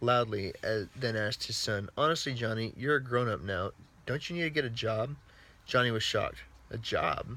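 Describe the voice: This is plain reading aloud. The pitch varies in an ordinary way.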